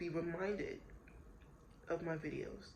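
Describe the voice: A woman speaks at a fairly slow pace in a fairly low pitch, with little pitch movement and a slightly mellow tone. Room echo is audible.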